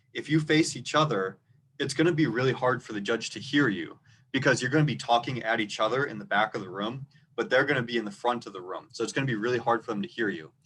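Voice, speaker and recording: A man talks very fast at a medium pitch. His pitch variation is ordinary. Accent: slight Minnesota. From rural Minnesota. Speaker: debate coach. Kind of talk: tutorial. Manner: louder than normal; clear, moderate pace.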